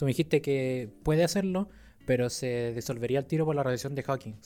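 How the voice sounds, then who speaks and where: A man in a Chilean accent, fairly high in pitch, with a dark, mellow tone, ordinary pitch variation and a fairly quick pace. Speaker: podcast co-host, astronomer. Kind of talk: casual chat. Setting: in-person recording, handheld mics.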